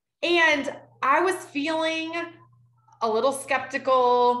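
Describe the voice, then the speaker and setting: Audible room echo surrounds a woman whose high-pitched voice has a bright, sharp tone. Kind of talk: presentation to an online audience. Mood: warm, personal story. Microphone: video call.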